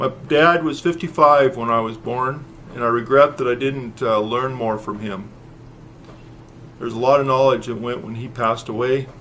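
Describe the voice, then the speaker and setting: A man with an American accent, bright and sharp in tone, ordinary pitch variation, at a moderate pace. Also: medium pitch for a man. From US West, eastern Oregon. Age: 60s. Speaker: YouTuber sharing preparedness advice, former volunteer EMT. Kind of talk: casual vlog talk to camera. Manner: halting, frequent fillers.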